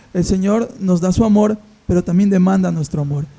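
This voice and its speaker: Noticeable background noise sits behind the speech. A man talks at a fairly quick pace with ordinary pitch variation. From Peru, Amazon region (Iquitos, Loreto). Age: 30s. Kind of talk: podcast discussion, Bible teaching.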